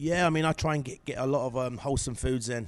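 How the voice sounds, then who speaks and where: A man in an English accent at a very fast pace. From England. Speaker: professional bodybuilder. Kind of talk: interview. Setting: gym. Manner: halting, many fillers.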